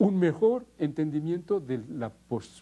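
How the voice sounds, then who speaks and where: A man's dark, mellow tone carries a somewhat breathy quality. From French Basque Country. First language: Basque (speaking Spanish). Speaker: linguist. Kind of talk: interview. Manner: halting, with frequent repetitions.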